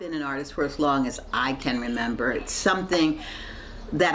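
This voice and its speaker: Room echo is audible and background noise is noticeable. Through it, a woman speaks with an American accent. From Baltimore, US. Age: 60s. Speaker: artist. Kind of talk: interview monologue.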